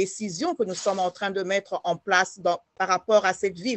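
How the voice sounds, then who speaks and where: A woman's voice at a medium pitch. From Congo (DRC). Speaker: politician. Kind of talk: interview. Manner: hesitant with fillers.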